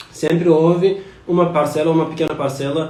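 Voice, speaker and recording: Over noticeable background noise and audible room echo, a man with a non-native accent speaks at a moderate pace in a fairly high pitch. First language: not Portuguese (speaking Portuguese). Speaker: scholar of religion giving talk. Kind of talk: live stream lecture. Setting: Instagram live stream. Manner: halting, many fillers.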